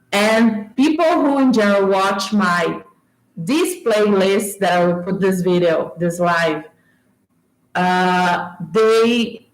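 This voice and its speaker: A woman is speaking. She has a Brazilian accent. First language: Portuguese. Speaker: YouTuber discussing movies. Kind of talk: livestream casual talk. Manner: animated.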